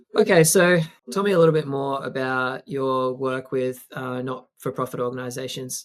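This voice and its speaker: In an Australian accent, a man is talking. His pitch is medium. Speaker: podcast host. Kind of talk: interview conversation.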